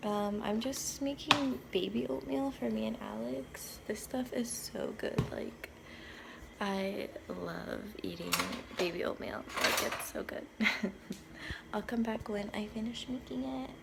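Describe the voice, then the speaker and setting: Talking fairly slowly, a woman is heard. The clip carries noticeable background noise and audible room echo. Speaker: vlogger. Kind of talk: casual vlog.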